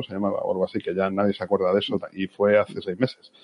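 The man's pitch is fairly low. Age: 50s. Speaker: marketing executive. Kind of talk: podcast interview. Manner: halting, repeats words.

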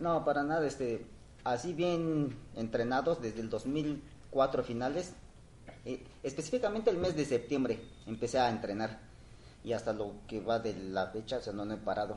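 Speaking at a moderate pace, a man with a plain, everyday voice holds a medium pitch with ordinary pitch variation. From Oaxaca, Mexico. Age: 40s. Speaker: runner. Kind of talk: casual interview.

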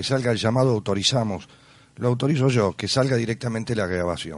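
The recording features an unremarkable speaking voice. Its pace is moderate, and its pitch varies in an ordinary way. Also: man. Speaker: radio host. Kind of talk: radio interview.

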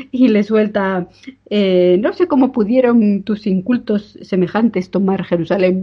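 A woman speaks at a fairly slow pace with ordinary pitch variation. Her voice is somewhat breathy and her loudness stays very even. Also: medium pitch for a woman. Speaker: podcast co-host. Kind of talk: casual chat. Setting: remote recording.

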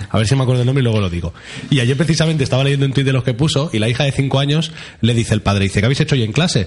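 A man at a medium pitch talks at a very fast pace, his loudness very even. Noticeable background noise runs underneath. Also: ordinary pitch variation. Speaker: radio host. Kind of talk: casual chat.

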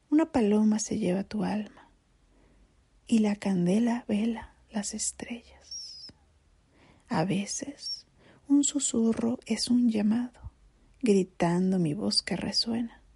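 Amid noticeable background noise, a woman with a fairly high pitch and ordinary pitch variation speaks at a very slow pace, leaving long, frequent pauses. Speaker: narrator. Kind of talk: poetry reading. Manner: slow, melancholic.

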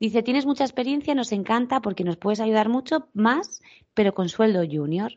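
A woman speaks in an animated tone at a fairly high pitch. Her pitch swings very widely. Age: 40s. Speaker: tourism professional, podcast co-host. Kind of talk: casual chat.

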